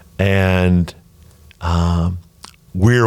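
The man's voice is very deep and low in pitch. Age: 60s. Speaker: pastor. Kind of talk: casual chat. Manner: halting.

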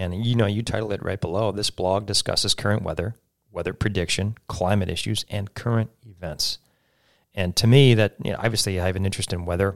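A man with an American accent and a plain, everyday voice at a fairly quick pace, dry and close with no echo, in a very clean recording with a silent background. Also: fairly low pitch for a man, fairly even intonation. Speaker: radio talk show host. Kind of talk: interview conversation. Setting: studio.

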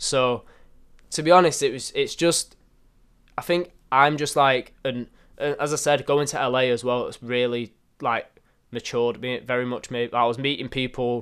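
A man with a Mancunian accent speaks at a medium pitch. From northern England, Manchester. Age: young. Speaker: photographer and content creator. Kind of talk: interview.

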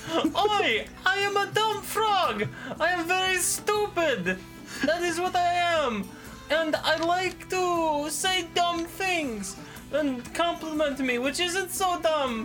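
Someone uses a put-on character voice at an extremely high pitch and a very slow pace. Clear music plays in the background. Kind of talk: comic, exaggerated. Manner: silly, dim-witted.

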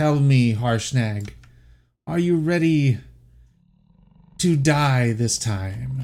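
Using a put-on character voice, a man booms at a medium pitch and a very slow pace. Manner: menacing, taunting.

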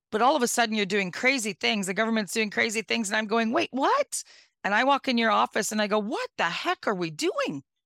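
A woman with a Northern Ontario accent speaks at a fairly quick pace and fairly high pitch in an animated, bright, sharp tone with lively intonation and very even loudness, on a very clean recording with a silent background and a dry, close sound with no echo. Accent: Northern Ontario Canadian. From Northwestern Ontario, Canada. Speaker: mayor. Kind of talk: interview.

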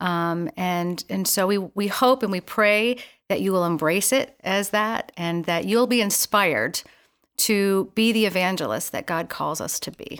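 In a very clean recording with a silent background, a woman with an American accent speaks at a fairly slow pace in a plain, everyday voice, at medium pitch with ordinary pitch variation. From US Northeast. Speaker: Salvation Army officer and youth leader. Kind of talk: interview.

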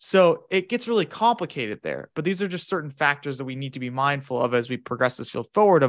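A man with a General American accent talks in an ordinary speaking voice at medium pitch, with ordinary pitch variation and a quiet background. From US Southwest, Phoenix, Arizona. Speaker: sleep researcher, psychology graduate student. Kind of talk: interview, academic discussion.

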